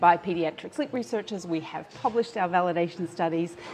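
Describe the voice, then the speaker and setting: A woman with an Australian accent, fairly low pitch and ordinary pitch variation, amid noticeable background noise. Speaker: pediatric sleep researcher. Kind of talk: live-stream interview. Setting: live stream. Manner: hesitant, many fillers.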